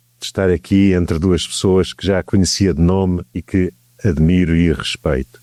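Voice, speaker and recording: In a very clean recording with a silent background and a dry, close sound with no echo, a man with a European Portuguese accent speaks at a very deep, low pitch in a dark, mellow tone. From Portugal. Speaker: law professor. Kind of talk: lecture. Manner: slow, deliberate.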